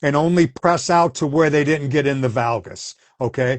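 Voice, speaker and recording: A man with a plain, everyday voice, ordinary pitch variation and a moderate pace. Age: 60s. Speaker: former Pilates instructor. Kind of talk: casual interview chat.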